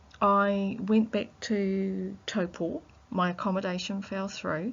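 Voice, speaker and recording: A woman speaks with a fairly high pitch, her voice somewhat breathy. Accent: New Zealand. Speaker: researcher. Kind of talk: reflective audio diary. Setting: library. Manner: halting; soft-spoken.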